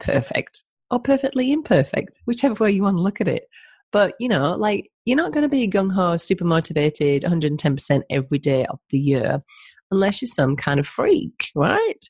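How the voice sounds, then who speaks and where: A woman talks at a moderate pace in a medium pitch, with very wide pitch swings and a somewhat breathy quality. The sound is dry and close, with no echo. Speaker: podcast host and health coach. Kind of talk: casual interview chat.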